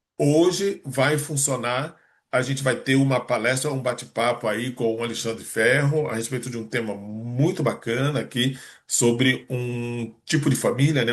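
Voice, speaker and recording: Somewhat breathy, a man speaks with a medium pitch. His pace is moderate and his intonation fairly even. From Rio de Janeiro, Brazil. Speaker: meeting host, entrepreneur. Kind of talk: online meeting introduction. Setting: video call.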